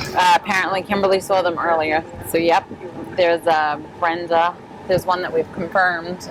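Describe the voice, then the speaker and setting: Noticeable background noise sits behind a woman speaking at a moderate pace with an American accent. Her pitch is fairly low and her intonation monotone and flat. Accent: New York accent, fading slightly. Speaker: sheriff's deputy. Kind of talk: casual chat.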